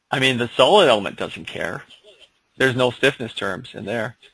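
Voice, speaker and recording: A man with a bright, sharp tone and medium pitch speaks at a moderate pace with lively intonation, big swings in loudness, and long, frequent pauses. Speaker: engineering software instructor. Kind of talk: online seminar tutorial. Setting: online seminar with screen sharing. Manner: casual, hesitant with fillers.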